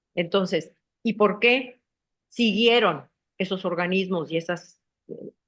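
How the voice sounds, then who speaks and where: A woman's very slow speech at a medium pitch with ordinary variation, broken by long, frequent pauses. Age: 70s. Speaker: political activist. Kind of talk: interview.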